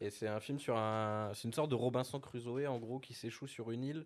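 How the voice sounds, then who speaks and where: In a very clean recording with a silent background, a man with a plain, everyday voice talks at a fairly quick pace, medium in pitch with ordinary pitch variation. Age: young. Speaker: podcast co-host, editor. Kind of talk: casual chat.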